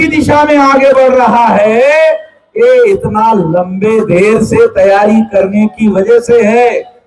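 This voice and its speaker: A man's animated voice. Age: 60s. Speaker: political activist leader. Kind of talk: political speech to rally. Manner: animated, addressing crowd.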